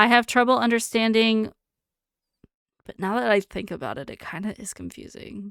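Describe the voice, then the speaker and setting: On a very clean recording with a silent background and a dry, close sound with no echo, a woman with a fairly high pitch speaks at a moderate pace, her loudness swinging widely and her speech marked by long, frequent pauses. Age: 30s. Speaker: streamer. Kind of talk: reading quiz items aloud with casual commentary. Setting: live stream. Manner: monotone.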